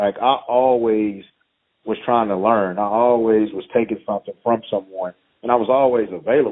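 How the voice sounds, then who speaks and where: With a Texan accent, this speaker moves at a moderate pace and keeps the intonation fairly even. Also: man, medium pitch for a man. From East Texas. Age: 30s. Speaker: high school football head coach. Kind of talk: interview.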